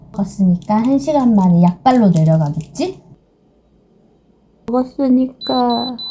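The speech moves at a very slow pace with long, frequent pauses. The pitch swings very widely. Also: woman, medium pitch for a woman. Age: 30s. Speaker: vlogger. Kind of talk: casual chat. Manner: animated.

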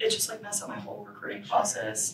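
Moderate pace with noticeable background noise. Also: woman. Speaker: guest. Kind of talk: interview answer. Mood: relaxed, chatty. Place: studio.

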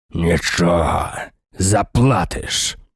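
A man's raspy, hissing, put-on character voice with a very deep, low pitch. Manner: hissed through teeth, ironic, ambiguous.

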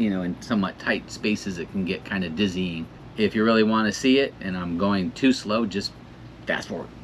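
A man's fairly low voice with ordinary pitch variation over light background noise. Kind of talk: casual vlog chat. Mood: relaxed, excited. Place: boat.

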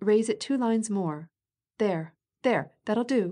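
In a put-on character voice, a female-sounding speaker whines at a fairly high pitch and a fairly slow pace against a quiet background. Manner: forced vigour, whining.

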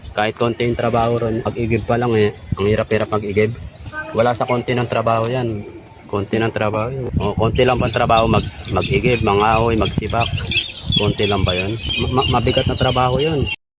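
A man speaks at a fairly quick pace in a medium pitch, his intonation flat and monotone, with noticeable noise behind him. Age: old. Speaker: laborer. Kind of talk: casual complaint. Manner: halting.

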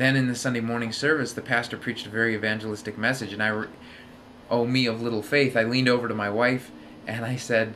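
Light background noise sits behind a man whose intonation is fairly even. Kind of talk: casual vlog chat. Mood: relaxed, slightly self-deprecating. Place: home room. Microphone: webcam.

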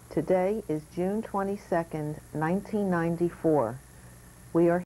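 At a fairly slow pace, a woman speaks with a fairly low pitch, a dark, mellow tone and ordinary pitch variation. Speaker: oral history interviewer. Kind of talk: interview introduction. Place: home room. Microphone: old recording.

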